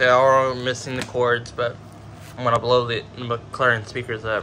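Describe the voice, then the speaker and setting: A man with a medium-pitched voice talks at a moderate pace in a flat monotone, with noticeable background noise. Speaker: product unboxing youtuber. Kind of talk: unboxing video commentary. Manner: halting.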